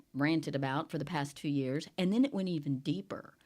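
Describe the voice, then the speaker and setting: A woman speaks in a normal speaking voice with lively intonation at a moderate pace. The recording is very clean, with a silent background. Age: 60s. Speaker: newspaper editor and podcast host. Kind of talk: casual podcast chat.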